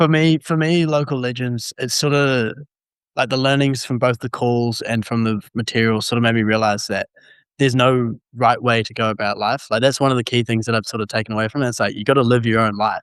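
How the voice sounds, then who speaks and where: Speaking with a New Zealand accent at a fairly quick pace, a man with a medium pitch keeps his intonation fairly even, in a dry, close sound with no echo and a quiet background. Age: 20s. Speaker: university student. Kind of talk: testimony.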